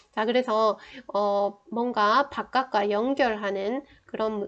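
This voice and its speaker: A woman speaks at a very slow pace. Her fairly high pitch holds fairly even intonation. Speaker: saju astrology teacher. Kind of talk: lecture.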